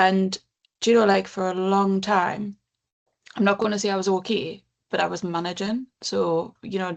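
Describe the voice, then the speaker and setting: A woman with a northern English accent speaks at a moderate pace in a medium pitch, her intonation monotone and flat. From northern England. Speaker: counsellor and charity CEO. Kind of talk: interview.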